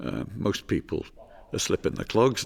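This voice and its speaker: This is a man talking. His voice has vocal fry. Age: 70s. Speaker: charity group member. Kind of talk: interview testimony.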